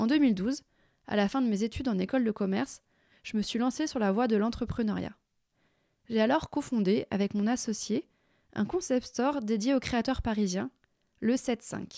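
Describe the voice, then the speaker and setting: Long, frequent pauses break up a moderate pace in this dark, mellow voice with ordinary pitch variation, recorded very cleanly over a silent background. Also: woman, fairly high pitch for a woman. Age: 30s. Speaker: podcast host and retail consultant. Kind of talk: scripted monologue.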